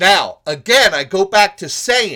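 The voice is raised and projected, with a bright, sharp tone and lively intonation. It moves at a fairly slow pace in a very clean recording, silent background. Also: man. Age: 50s. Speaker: podcast host, motivational speaker. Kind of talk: motivational monologue. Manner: animated.

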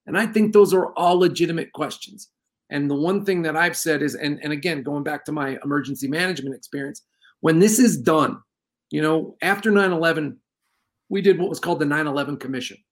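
On a very clean recording with a silent background, a man with a plain, everyday voice speaks fairly quickly at a fairly high pitch with ordinary pitch variation. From New York. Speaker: former sheriff, radio host, cannabis business owner. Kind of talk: casual chat.

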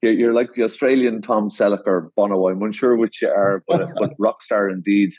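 A man with an Irish accent and a fairly low voice. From Ireland. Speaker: landscape designer. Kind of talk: interview. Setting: video call.

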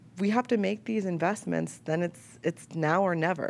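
Speaking at a moderate pace, a woman has a fairly low pitch and an ordinary speaking voice. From Chicago. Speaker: media entrepreneur, former TV news staffer. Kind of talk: panel discussion.

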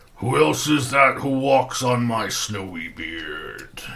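A man puts on a rumbling character voice at a fairly slow pace. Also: medium pitch for a man.

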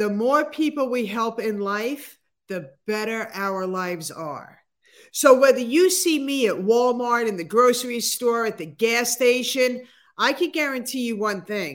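A woman speaks fairly slowly at a fairly high pitch, with lively intonation and an ordinary speaking voice. The recording is very clean, with a silent background. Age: 60s. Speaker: motivational speaker and author. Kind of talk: interview.

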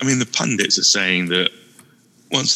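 Over noticeable background noise, a man in a British accent speaks at a moderate pace with ordinary pitch variation, in a dry, close sound with no echo. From UK. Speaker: guest co-host on a gaming podcast. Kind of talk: casual chat.

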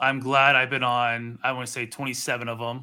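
Delivered at a fairly slow pace against a quiet background, this is an ordinary speaking voice. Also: man. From Pittsburgh, Pennsylvania. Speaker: podcaster and sports talk guest. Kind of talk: casual chat.

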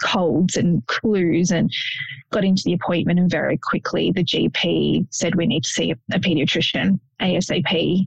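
A woman's fairly low voice carries an Australian accent. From Sydney, Australia. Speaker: police officer and genetics ambassador, bereaved mother. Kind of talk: casual interview, personal testimony.

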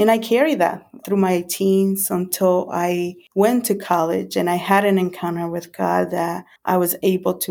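A woman at a fairly low pitch, speaking at a fairly slow pace, on a very clean recording with a silent background. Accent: Spanish. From El Salvador. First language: Spanish. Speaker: ministry volunteer. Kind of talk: testimony.

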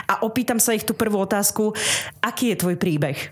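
Noticeable background noise is present. Through it, a woman talks at a medium pitch. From eastern Slovakia, Snina district, Rusyn village. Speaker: radio presenter and podcaster. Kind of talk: radio interview. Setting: radio studio.

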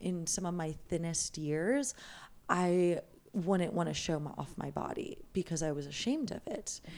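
A woman has an ordinary speaking voice, fairly low in pitch with ordinary pitch variation, at a fairly slow pace. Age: 20s. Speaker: yoga teacher and life coach. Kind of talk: casual chat.

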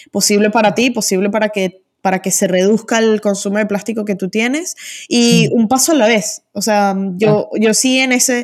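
A woman with an ordinary speaking voice, pitched fairly high, moving at a moderate pace and showing ordinary pitch variation. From Venezuela. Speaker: e-commerce agency founder. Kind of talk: interview.

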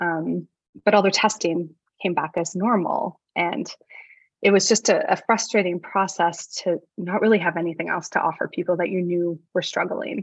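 A woman with an ordinary speaking voice and fairly low pitch talks at a moderate pace with fairly even intonation. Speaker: medical doctor. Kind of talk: casual interview chat.

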